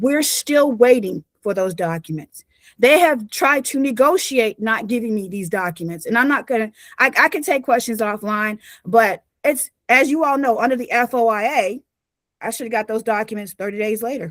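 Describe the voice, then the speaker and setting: On a very clean recording with a silent background, a woman's fairly high voice carries lively intonation, with a dry, close sound and no echo. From US South (North Carolina). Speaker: victim's family member giving testimony. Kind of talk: public testimony. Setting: public commission meeting. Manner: fast.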